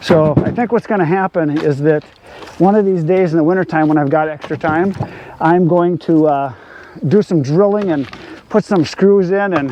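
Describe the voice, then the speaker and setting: This man has a high-pitched voice. Noticeable background noise runs behind him. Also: ordinary pitch variation, moderate pace. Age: 60s. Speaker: firewood seller and video channel owner. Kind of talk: casual Q&A monologue while working. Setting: outdoors in a wood yard.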